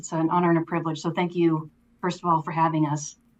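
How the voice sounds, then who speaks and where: A woman with an American accent talks in a fairly low, monotone, flat voice. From Minnesota, US Midwest. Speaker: army veteran and distillery co-founder. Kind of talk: podcast interview.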